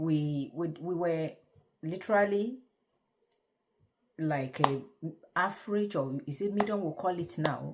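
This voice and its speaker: A woman with a Nigerian accent and a fairly low-pitched voice talks at a fairly slow pace with long, frequent pauses. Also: ordinary pitch variation. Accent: Nigerian (Yoruba) English. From Nigeria, Yoruba. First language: Yoruba. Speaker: vlogger. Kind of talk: casual talk to camera. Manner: halting.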